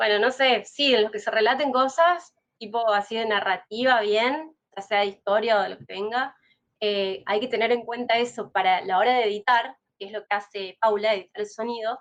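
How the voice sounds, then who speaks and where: This woman speaks with a Rioplatense accent. Her pitch is fairly high, with ordinary variation. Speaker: podcast host. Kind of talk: casual interview chat. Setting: live stream. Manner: fast.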